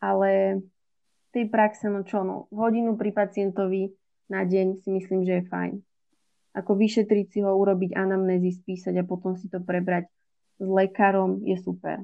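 This woman talks at a moderate pace in a medium pitch, her intonation flat and monotone. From Slovakia, Žilina. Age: 20s. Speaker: medical student. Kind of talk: interview.

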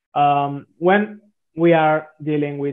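A man with an Italian accent speaks at a fairly slow pace in a flat monotone, his pitch fairly high. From southern Italy. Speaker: software developer. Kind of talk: interview. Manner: halting.

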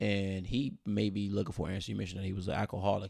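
The voice has a creaky vocal fry. It races along at a very fast pace. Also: man. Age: 30s. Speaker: podcast co-host. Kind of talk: casual chat.

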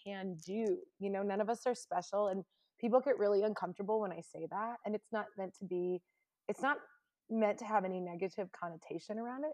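In an American accent, a woman with a normal speaking voice talks at a fairly quick pace and a medium pitch. Her intonation is fairly even, and the sound is dry and close with no echo. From Indiana, US Midwest. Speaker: dog rescuer and world traveler. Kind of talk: interview conversation.

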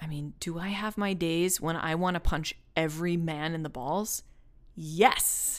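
On a very clean recording with a silent background, a woman has a normal speaking voice, fairly low in pitch, with fairly even intonation at a fairly slow pace. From US. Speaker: podcast host. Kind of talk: personal monologue.

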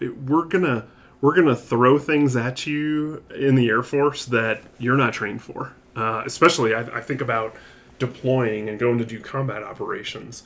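A man speaks in an ordinary speaking voice at medium pitch, keeping a moderate pace and ordinary pitch variation. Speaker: air force colonel. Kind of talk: interview.

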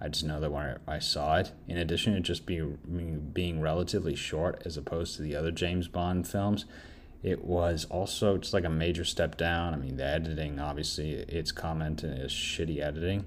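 A man's very deep, low voice at a fairly quick pace with hardly any pauses, in audible room echo. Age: 30s. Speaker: podcast film reviewer. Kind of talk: solo film review monologue. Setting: home recording while doing laundry. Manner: casual, halting with self-corrections.

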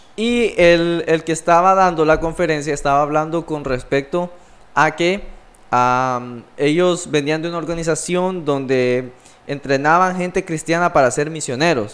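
With a plain, everyday voice, a man talks at a fairly slow pace with a fairly high pitch and ordinary pitch variation. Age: 20s. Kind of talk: casual religious discussion.

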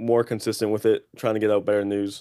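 A man with an American accent speaks in a dark, mellow, fairly low-pitched monotone on a very clean recording with a silent background. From Boston, Massachusetts. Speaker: college student and social media creator. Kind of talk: casual chat.

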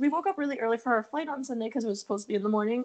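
Noticeable background noise sits behind a woman with an American accent. Her pitch is fairly high, with ordinary pitch variation. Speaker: podcast host. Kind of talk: casual chat. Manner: animated, filler-heavy.

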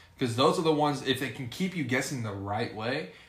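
Fairly quick speech in an American accent, with audible room echo and noticeable background noise. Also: man. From US Midwest, central Illinois. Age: 20s. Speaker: podcast co-host. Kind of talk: casual chat.

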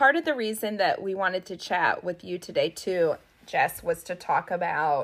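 Here is a woman with an ordinary speaking voice and a medium pitch. She talks at a fairly slow pace. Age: 30s. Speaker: podcast host. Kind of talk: casual chat. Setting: video call.

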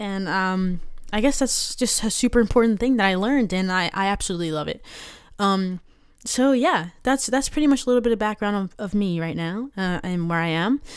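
A woman with an American accent, medium pitch, lively intonation and a fairly quick pace, on a very clean recording with a silent background. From Maryland. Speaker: podcast host, aspiring actor. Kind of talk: casual monologue. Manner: hesitant, many fillers.

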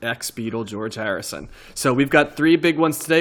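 Here a man has an unremarkable speaking voice, fairly high in pitch. He moves at a fairly quick pace with ordinary pitch variation. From New Jersey. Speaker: podcast host. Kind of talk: casual chat.

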